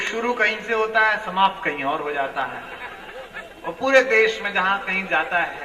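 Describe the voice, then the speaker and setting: A man's raised, projected voice, high-pitched with ordinary pitch variation, over noticeable background noise. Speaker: event host introducing poets. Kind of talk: stage introduction at poetry event.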